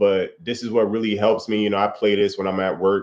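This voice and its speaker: Fairly low in pitch, the man's voice moves along at a moderate pace. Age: 30s. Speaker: crypto streamer. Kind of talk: casual livestream chat. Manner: halting.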